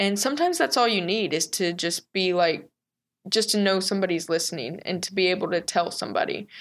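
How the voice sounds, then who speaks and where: Here is a woman with an American accent and a medium pitch. She speaks very fast with ordinary pitch variation. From Texas. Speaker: business owner in addiction recovery. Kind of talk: interview.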